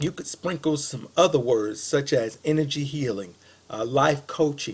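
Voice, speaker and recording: Somewhat breathy and fairly slow, a man talks at a fairly high pitch with lively intonation. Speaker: web marketing consultant. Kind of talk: recorded sales pitch to a business. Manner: casual with many fillers.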